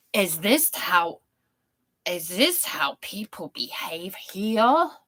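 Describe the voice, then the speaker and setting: A female-sounding voice speaks in a put-on character voice at a medium pitch. The pace is very slow. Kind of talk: tough, surprised.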